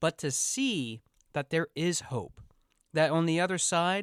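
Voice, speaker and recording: On a very clean recording with a silent background and a dry, close sound with no echo, a man with a fairly high pitch speaks at a fairly slow pace. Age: 30s. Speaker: podcast host and coach. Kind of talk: podcast interview.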